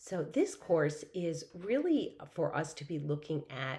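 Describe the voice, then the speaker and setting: In a room with audible echo, a woman speaks in a somewhat breathy voice with a dark, mellow tone. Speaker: professor. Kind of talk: lecture.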